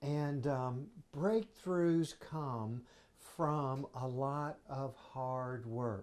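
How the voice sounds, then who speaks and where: A man speaks very slowly in a fairly high voice. His pitch variation is ordinary. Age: 60s. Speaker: science educator. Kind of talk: interview. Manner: halting, many fillers.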